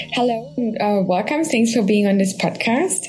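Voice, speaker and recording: A woman speaks at a moderate pace. Noticeable background noise runs beneath her voice. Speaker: podcast host. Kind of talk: interview.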